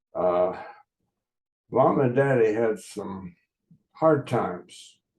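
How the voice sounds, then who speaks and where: A man with an American accent speaks at a medium pitch. His pace is very slow and his intonation lively. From West Virginia, Huntington. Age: 80s+. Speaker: podcaster. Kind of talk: casual monologue. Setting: video call recording. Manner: halting, frequent uh fillers.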